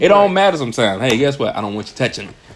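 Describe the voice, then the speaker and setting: This man's intonation is lively, with noticeable noise in the background. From Texas. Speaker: podcast co-host. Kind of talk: casual chat. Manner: animated.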